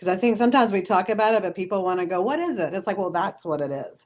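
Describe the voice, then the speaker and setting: A woman speaks with lively intonation. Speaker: social work professor. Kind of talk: webinar presentation. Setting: video call. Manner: fast.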